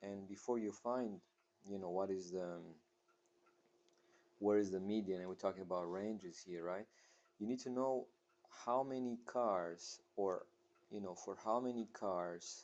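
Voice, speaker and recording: Speaking at a fairly slow pace with a non-native accent, a man uses a fairly low pitch and fairly even intonation, leaving long, frequent pauses. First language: not English. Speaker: math teacher. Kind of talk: tutorial. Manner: halting, many fillers.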